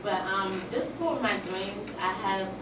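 A woman's voice amid loud background noise, with audible room echo. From Washington, D.C. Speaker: student. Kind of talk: audience question. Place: classroom. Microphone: camera far.

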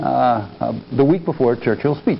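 A man speaks at a moderate pace with light background noise present. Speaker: history professor; history professor giving a talk. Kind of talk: lecture. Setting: stage with audience. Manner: halting. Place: hall. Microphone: lapel.

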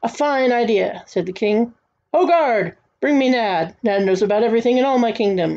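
Quiet surroundings and a natural reading voice

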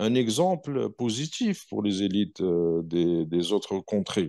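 A man's fairly low voice swings very widely in pitch against a quiet background. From southern Algeria (M'zab region); Algeria. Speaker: political commentator; interview guest, commentator. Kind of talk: interview. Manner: hesitant, many fillers. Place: home room. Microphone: earbuds.

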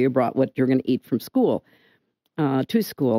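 Over a quiet background, a woman's dark, mellow voice swings very widely in pitch, the sound dry with no echo. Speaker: interview guest. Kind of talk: interview answer. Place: studio. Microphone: studio mic.

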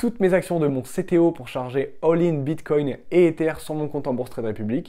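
A man talks at a moderate pace with a fairly high pitch and a dark, mellow tone. His pitch varies in an ordinary way against a quiet background. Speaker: crypto YouTuber. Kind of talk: scripted narration. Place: home room. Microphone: lapel.

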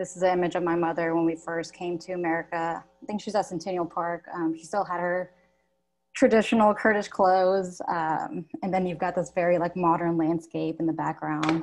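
A woman talks at a fairly low pitch with fairly even intonation. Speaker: textile artist. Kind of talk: panel discussion. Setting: video call. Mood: warm, reflective. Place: home room.

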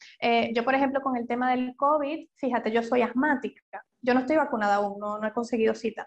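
A woman speaks in a high pitch at a fairly quick pace. Her intonation is fairly even, and she hardly pauses. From Venezuela. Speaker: psychologist. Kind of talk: interview.

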